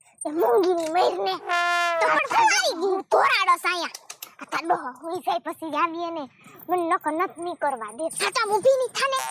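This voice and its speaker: A woman's put-on character voice, extremely high and swinging very widely in pitch, at a moderate pace, with a dry, close sound and no echo. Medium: comedy sketch. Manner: blunt, bossy, insulting.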